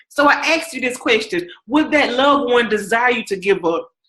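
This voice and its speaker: A woman speaks in a Southern accent with a high pitch and a bright, sharp tone. Her intonation is lively and her tone animated. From US South. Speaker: podcast host and coach. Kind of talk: interview wrap-up, motivational talk.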